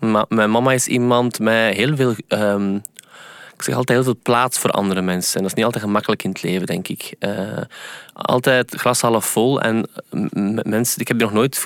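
The man's intonation stays fairly even. He talks at a moderate pace in a medium pitch. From Flanders, Belgium. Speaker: singer and pianist. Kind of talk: casual interview. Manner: halting, many fillers and repetitions.

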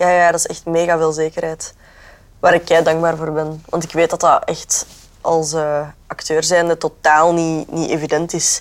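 Her intonation is monotone and flat. This woman has a fairly low pitch and keeps a moderate pace. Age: 20s. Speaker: actress and radio presenter. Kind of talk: casual chat. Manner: halting.

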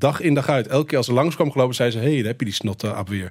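Using an ordinary speaking voice, a man speaks in a medium pitch that varies in an ordinary way. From Netherlands. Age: 40s. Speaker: filmmaker. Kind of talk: radio interview.

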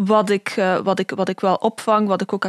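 Dry and close with no echo, a woman's medium-pitched voice moves at a moderate pace in a monotone, flat intonation. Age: 20s. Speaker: historian and researcher. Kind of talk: expert interview explanation.

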